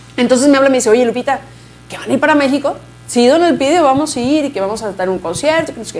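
Amid noticeable background noise, a high-pitched woman talks at a very fast pace with lively intonation. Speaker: mariachi musician. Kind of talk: interview.

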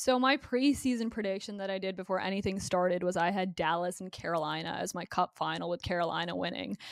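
A woman talking at a very fast clip, hardly pausing, with ordinary pitch variation. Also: medium pitch for a woman. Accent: Ontario. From Canada, Burlington near Toronto, Ontario. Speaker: hockey broadcaster. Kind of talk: casual interview.

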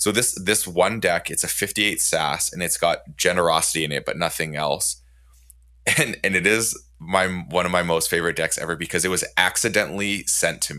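In a very clean recording with a silent background, a man speaks at a fairly quick pace with a very deep, low pitch, a bright, sharp tone and ordinary pitch variation. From Canada. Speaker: podcast host. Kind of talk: casual chat.

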